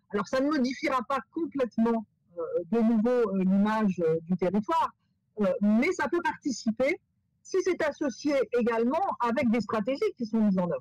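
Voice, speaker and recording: A fairly high-pitched woman's voice with lively intonation at a moderate pace, dry and close with no echo. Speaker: professor. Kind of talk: webinar Q&A answer. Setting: video call webinar. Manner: halting, many repetitions and fillers.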